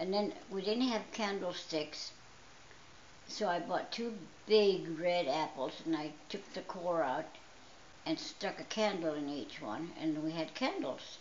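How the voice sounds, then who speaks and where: Speaking fairly slowly, a woman has a fairly low pitch and lively intonation. Audible room echo and noticeable background noise accompany her. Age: 80s+. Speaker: storyteller. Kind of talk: personal storytelling.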